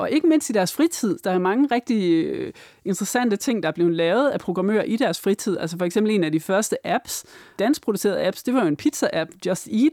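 Speaking at a fairly quick pace, a woman has a dark, mellow tone at medium pitch with very wide pitch swings. The recording is very clean with a silent background, and the sound is dry and close with no echo. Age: 40s. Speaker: researcher and author. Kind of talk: interview. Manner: halting, many fillers and repeats.

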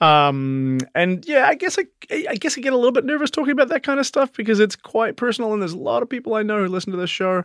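In a New Zealand accent, a man speaks at a very fast pace in a high voice with very wide pitch swings, the sound dry and close with no echo. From New Zealand, South Island. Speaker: podcast co-host's husband. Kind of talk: casual chat.

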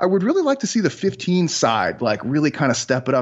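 In a Chicago accent, a man talks at a fairly quick pace. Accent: Chicago American. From US Midwest, Chicago. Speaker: sports scientist. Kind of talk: casual interview Q&A.

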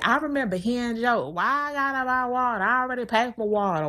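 In a very clean recording with a silent background, a woman's fairly high pitch swings very widely. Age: 30s. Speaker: podcast host, financial coach. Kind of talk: casual monologue.

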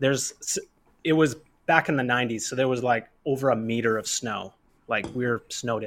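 This is a plain, everyday voice with a Canadian accent and fairly even intonation. The recording is very clean, with a silent background. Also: man, medium pitch for a man, fairly quick pace. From Canada, Kamloops, British Columbia. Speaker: rollerblader. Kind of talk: casual chat.

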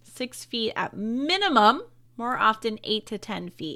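The pace is very slow. The tone is bright and sharp. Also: woman. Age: 20s. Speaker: podcast co-host. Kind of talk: casual chat; reading aloud.

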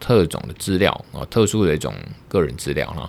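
A man speaks with a Taiwanese accent. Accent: Taiwanese Mandarin. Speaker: lawyer and podcast host. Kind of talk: solo podcast monologue on law. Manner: casual, hesitant with fillers.

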